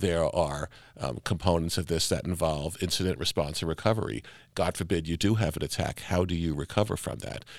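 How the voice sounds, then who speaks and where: In a very clean recording with a silent background, a man talks at a fairly quick pace with a very deep, low pitch and vocal fry. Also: ordinary pitch variation. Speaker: hospital chief information officer. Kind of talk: interview.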